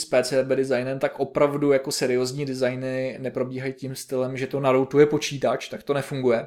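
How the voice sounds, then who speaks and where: A man with a medium pitch talks at a very fast pace with hardly any pauses. His intonation stays monotone and flat. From Czech Republic, Liberec region. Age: 30s. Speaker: electronics engineer, podcast co-host. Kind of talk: casual technical chat.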